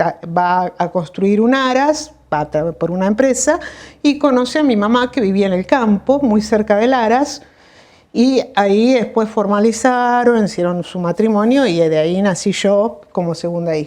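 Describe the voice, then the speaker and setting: With a Rioplatense accent, a woman speaks at a fairly slow pace. Her pitch is fairly high. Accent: Argentine Rioplatense Spanish. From Argentina, Buenos Aires province. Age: 60s. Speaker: doctor. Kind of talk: interview. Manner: halting, with many fillers.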